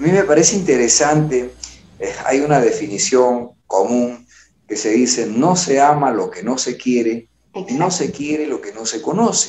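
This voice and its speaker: This man has an unremarkable speaking voice with a fairly high pitch. He talks at a fairly slow pace with lively intonation. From Peru. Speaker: TV interview host. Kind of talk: interview.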